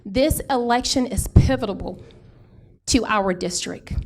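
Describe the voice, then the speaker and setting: In an American accent, a woman talks at a very slow pace with lively intonation and vocal fry. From Houston, Texas. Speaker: political candidate. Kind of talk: campaign speech. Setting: town hall meeting with audience.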